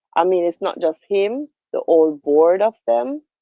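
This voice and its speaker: In a Jamaican accent, a woman speaks at a fairly slow pace with lively intonation. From Jamaica, Spanish Town. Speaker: livestream host. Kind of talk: casual political discussion.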